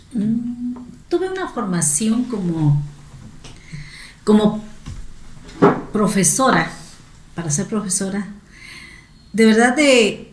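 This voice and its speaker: In a room with audible echo, a woman with a fairly high pitch and lively intonation talks at a very slow pace, with long, frequent pauses. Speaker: teacher and education academic. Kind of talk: interview.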